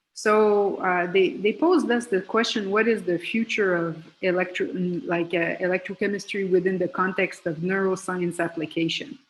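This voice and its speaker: With a French accent, a woman speaks with ordinary pitch variation. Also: medium pitch for a woman, moderate pace. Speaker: professor and electrochemist. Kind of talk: panel discussion opening statement. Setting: video call.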